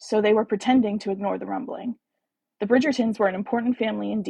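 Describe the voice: Quiet background behind plain reading aloud with ordinary pitch variation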